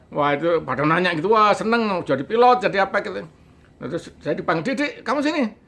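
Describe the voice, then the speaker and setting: Bright and sharp in tone, a man's high-pitched voice swings very widely in pitch. He speaks at a very fast pace. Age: 60s. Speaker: storyteller recounting childhood experience. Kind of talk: interview storytelling. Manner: halting, with fillers.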